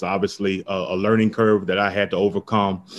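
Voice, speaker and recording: This is a man with an American accent and a normal speaking voice. He talks at a fairly quick pace with a fairly low pitch. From US South, Tampa, Florida. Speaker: entrepreneur. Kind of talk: interview.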